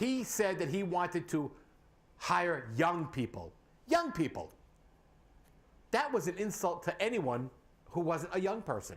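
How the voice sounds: A man speaks at fairly high pitch, with big pitch swings.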